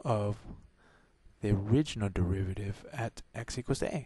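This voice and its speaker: Soft-spoken and somewhat breathy, a man talks at a fairly slow pace with a fairly low pitch and ordinary pitch variation. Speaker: math tutor. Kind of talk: tutorial. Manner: soft-spoken, talking low; halting, many fillers.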